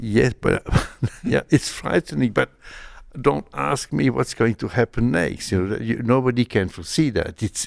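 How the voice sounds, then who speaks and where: A man's medium-pitched voice with vocal fry, lively intonation and a moderate pace, on a very clean recording with a silent background and a dry, close sound free of echo. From Belgium, Malmedy area. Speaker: comic artist. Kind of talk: interview. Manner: halting.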